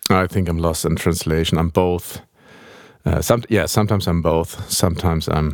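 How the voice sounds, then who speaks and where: With a German accent, a man speaks in a very deep, low pitch. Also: fairly even intonation, moderate pace. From Germany, Hamburg. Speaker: film and game composer. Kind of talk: interview. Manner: halting.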